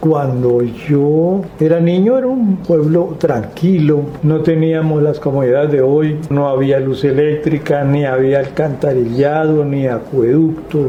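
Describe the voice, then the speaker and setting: Amid noticeable background noise and audible room echo, a man with a fairly high pitch and ordinary pitch variation speaks at a very slow pace, with very even loudness and hardly any pauses. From Colombia, Huila (Guadalupe). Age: 70s. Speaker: witness of political violence. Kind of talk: testimony.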